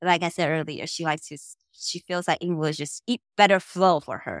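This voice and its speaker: On a very clean recording with a silent background, the dry, close sound with no echo carries a woman's fairly low voice with a Mandarin accent. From Taiwan. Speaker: podcast host. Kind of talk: casual chat.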